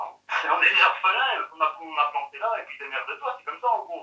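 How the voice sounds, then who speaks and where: A man at a moderate pace. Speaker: eyewitness of a UFO. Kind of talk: interview testimony. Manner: casual, halting. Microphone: poor audio in this testimony.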